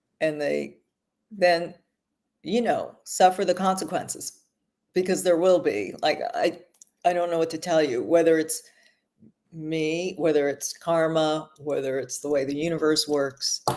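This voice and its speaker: A woman with an American accent speaks at a fairly slow pace, with ordinary pitch variation. She leaves long, frequent pauses. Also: fairly low pitch for a woman. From Los Angeles, US. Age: 60s. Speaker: author and screenwriter. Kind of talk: casual chat.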